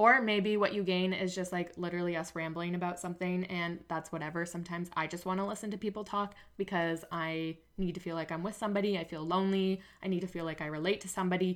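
A woman with a Canadian accent speaks very fast at a fairly low pitch, her intonation monotone and flat. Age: 20s. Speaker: podcast host and naturopathic medicine student. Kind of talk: casual solo monologue.

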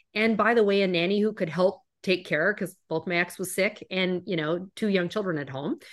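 Hardly pausing, a woman speaks at a moderate pace in a medium-pitched voice with ordinary pitch variation. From Canada. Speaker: corporate executive and keynote speaker. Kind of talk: interview conversation.

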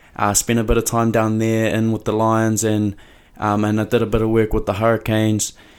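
A man speaks in a New Zealand accent at a medium pitch. His pace is fairly quick, on a very clean recording with a silent background. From New Zealand (Mount Maunganui). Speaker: rugby player. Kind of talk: casual monologue.

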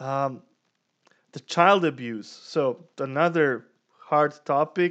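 Against a quiet background, a speaker with a non-native accent talks at a very slow pace with ordinary pitch variation. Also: man. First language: not English. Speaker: podcast co-host. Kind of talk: casual chat.

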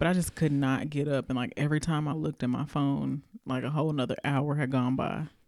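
A woman with a Southern US accent: very deep, low pitch, flat monotone intonation, very even loudness and a very fast pace. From US South. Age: 40s. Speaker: podcast co-host. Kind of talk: casual chat.

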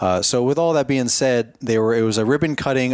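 At a fairly quick pace, a man speaks in a plain, everyday voice. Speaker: podcast host. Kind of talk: casual chat. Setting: in person at expo.

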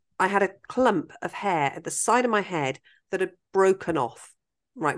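Lively intonation comes at a moderate pace over a quiet background. It is an unremarkable speaking voice. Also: woman. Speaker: podcast host. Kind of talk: casual interview chat.

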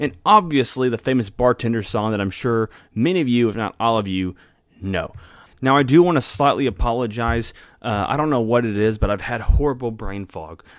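A man talks at a fairly quick pace in an ordinary speaking voice. The recording is very clean with a silent background. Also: medium pitch for a man, ordinary pitch variation. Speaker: podcast host. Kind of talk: casual interview chat. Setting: in-person interview.

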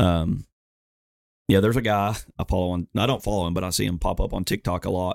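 A man with a Southern US accent speaks very fast, with long, frequent pauses, in a very deep, low pitch and fairly even intonation. The recording is very clean, with a silent background and a dry, close sound with no echo. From Alabama, US South. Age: 20s. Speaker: firefighter and veteran. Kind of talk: casual interview chat.

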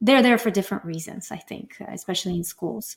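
A woman with a Bulgarian accent speaks at a medium pitch. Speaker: guest co-host, piano teacher.

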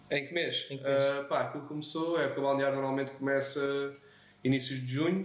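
With noticeable background noise and audible room echo, a man speaks fairly quickly in a fairly high, monotone, flat voice. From Portugal, Azeitão (Setúbal). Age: 20s. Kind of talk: casual interview chat.

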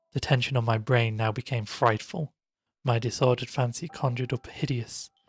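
A man is speaking. Music plays in the background. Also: dry, close sound with no echo. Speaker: audiobook narrator. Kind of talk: literary audiobook reading of a gothic horror tale, first-person narration. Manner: formal, ornate phrasing delivered with hushed suspense.

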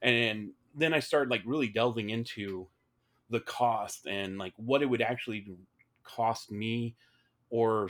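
A man speaks at medium pitch with ordinary pitch variation, an ordinary speaking voice. The recording is very clean, with a silent background. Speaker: political candidate. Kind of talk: casual interview.

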